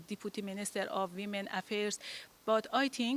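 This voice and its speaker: A woman at a medium pitch with a non-native accent, moderate pace, very clean recording and silent background. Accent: foreign. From Afghanistan. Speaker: women's rights advocate and public official. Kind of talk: invited talk. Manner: halting, many fillers.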